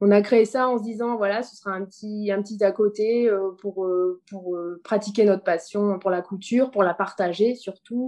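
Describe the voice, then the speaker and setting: At a moderate pace and with hardly any pauses, a woman talks in a normal speaking voice. Her pitch is medium and her intonation fairly even. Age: 30s. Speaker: entrepreneur. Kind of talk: interview.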